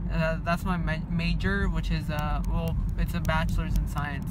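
Loud background noise fills this recording. A man speaks in a dry sound with no echo. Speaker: vlogger. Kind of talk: casual vlog chat. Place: car. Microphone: phone near.

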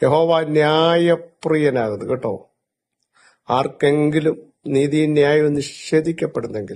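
A man speaks with a fairly high pitch. His pitch varies an ordinary amount. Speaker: pastor. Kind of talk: sermon. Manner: emphatic, phrase-by-phrase pauses.

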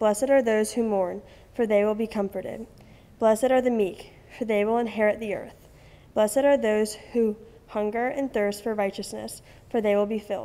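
A woman talks at a moderate pace with a dark, mellow tone. Her intonation is fairly even. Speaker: student scripture reader. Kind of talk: scripture reading. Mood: calm, solemn. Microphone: podium.

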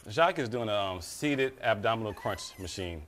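At a moderate pace, a man with a fairly low pitch makes big pitch swings in a fairly bright tone.

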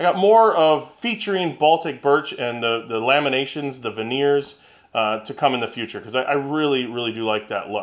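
With a quiet background behind him, a man keeps up a fairly quick pace. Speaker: woodworking channel host. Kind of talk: casual vlog chat. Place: workshop.

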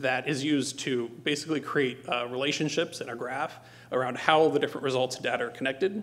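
With a fairly bright tone, a man talks at a fairly quick pace with few pauses.

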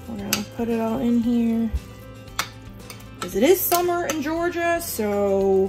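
A woman speaks at a fairly slow pace. Music plays clearly in the background. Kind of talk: tutorial. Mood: relaxed, homely. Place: kitchen. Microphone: camera far.

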